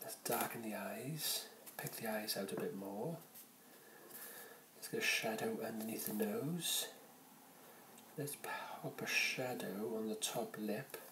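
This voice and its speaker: In a room with audible echo and light background noise, a man with a Welsh accent speaks at a very slow pace with long, frequent pauses, his fairly high voice swinging very widely in pitch. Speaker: caricature artist. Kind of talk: ASMR drawing narration. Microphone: phone near.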